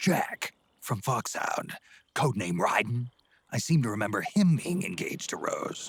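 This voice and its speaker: Putting on a character voice, a man speaks at a medium pitch and a moderate pace, his pitch swinging very widely. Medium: video game. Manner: terse, gruff.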